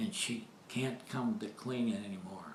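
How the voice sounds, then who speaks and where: A man with an American accent talks at a fairly slow pace and medium pitch, with ordinary pitch variation. Noticeable background noise and audible room echo come through. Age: 90s. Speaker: elderly interviewee. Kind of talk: casual reminiscing interview.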